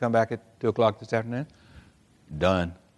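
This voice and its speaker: Over a very clean recording with a silent background, a man with a fairly low pitch speaks at a very fast pace with fairly even intonation. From Oklahoma. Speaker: physician assistant. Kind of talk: conference lecture. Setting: stage with audience.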